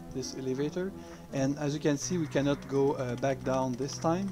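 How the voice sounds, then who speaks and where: With music playing behind him, a man talks in a medium-pitched voice whose pitch varies in an ordinary way. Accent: French. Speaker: game developer. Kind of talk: gameplay commentary. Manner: hesitant, many fillers.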